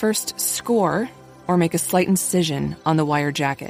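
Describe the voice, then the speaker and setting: A woman's lively intonation at a fairly slow pace, with music in the background. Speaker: voice actor. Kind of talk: eLearning instructional narration, soldering how-to.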